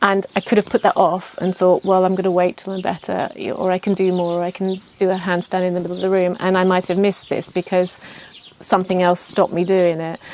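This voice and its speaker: Noticeable background noise sits behind a woman at medium pitch. She talks very fast in a monotone, flat intonation. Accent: English. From England. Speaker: yoga teacher trainee. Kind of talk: testimonial interview. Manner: hesitant, many fillers.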